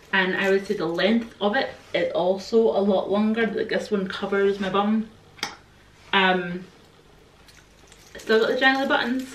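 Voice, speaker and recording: A woman with a Scottish accent and a relaxed tone, at a medium pitch and a fairly slow pace, with long, frequent pauses, audible room echo, and light background noise. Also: ordinary pitch variation. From Scotland. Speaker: fashion YouTuber. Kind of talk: casual talk to camera. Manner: chatty, relaxed. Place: home room. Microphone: camera far.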